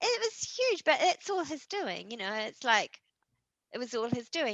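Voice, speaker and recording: Dry and close with no echo, the recording has a woman with a New Zealand accent speaking at a moderate pace, her tone bright and sharp and her intonation lively. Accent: New Zealand, squeaky. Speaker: horror author. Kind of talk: interview. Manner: animated, with many fillers.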